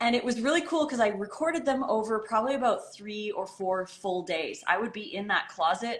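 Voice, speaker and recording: Lively intonation runs through a woman's unremarkable speaking voice, delivered at a moderate pace. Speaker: raw food author and channel host. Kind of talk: casual interview chat.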